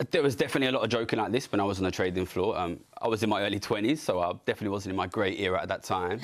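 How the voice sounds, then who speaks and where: With an East London accent, a man talks at a very fast pace in a fairly low pitch. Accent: regional East London. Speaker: city trader and economics commentator. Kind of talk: TV political panel discussion.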